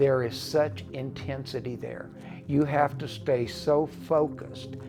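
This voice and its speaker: A man with an American accent, medium pitch and a very slow pace, amid audible room echo and noticeable background noise. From US Midwest, Detroit. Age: 70s. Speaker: retired educator, mountain biker. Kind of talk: documentary interview.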